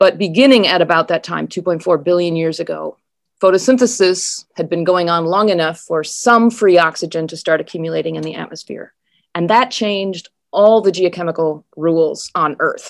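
A woman with a fairly low pitch and an American accent talks at a moderate pace with ordinary pitch variation in an ordinary speaking voice. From Wisconsin and Minnesota, US Upper Midwest. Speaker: geology professor. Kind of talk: interview.

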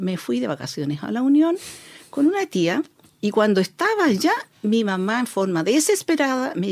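Her voice moves through very wide pitch swings as the woman speaks. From Chile, grew up in Sewell mining camp (O'Higgins region). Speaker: social worker. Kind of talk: interview.

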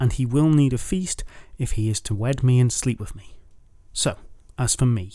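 The text is read aloud in a natural voice. Its intonation moves in a lively way.

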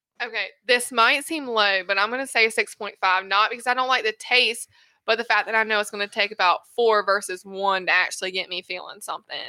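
A woman's fairly high, bright and sharp voice with a Southern US accent, fairly quick with hardly any pauses and ordinary pitch variation, on a very clean recording with a silent background and a dry, close sound with no echo. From US South. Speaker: host's wife, first-time guest. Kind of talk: casual chat. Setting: studio.

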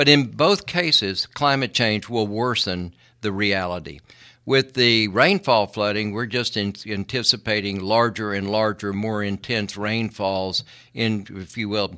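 Speaking with an American accent at a fairly slow pace, the voice has a bright, sharp tone and ordinary pitch variation, on a very clean recording with a silent background. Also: man, fairly low pitch for a man. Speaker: environmental lawyer. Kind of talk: radio interview. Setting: studio.

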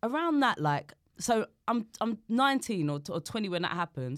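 Moderately paced speech in a South London accent with very wide pitch swings, on a very clean recording with a silent background. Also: woman. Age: 40s. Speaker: comedian. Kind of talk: casual chat.

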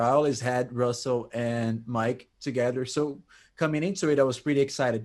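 A man speaks in a normal speaking voice at a moderate pace, with medium pitch and fairly even intonation. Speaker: prog rock music commentator. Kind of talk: casual chat.

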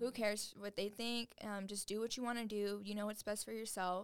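At a fairly quick pace, a woman with a fairly high pitch and fairly even intonation speaks in a normal speaking voice. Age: 20s. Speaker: business founder and CEO. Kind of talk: casual chat.

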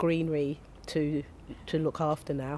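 In a South London accent, a woman speaks with a very deep, low pitch, a dark, mellow tone and monotone, flat intonation. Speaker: community gardener. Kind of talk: casual interview chat. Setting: outdoors in a community garden, shared microphone.

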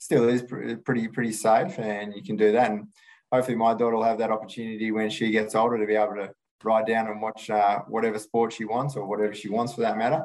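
A man with an Australian accent talks at a very fast pace, holding a medium pitch and fairly even intonation. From Perth, Western Australia. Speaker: retired field hockey goalkeeper. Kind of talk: casual interview.

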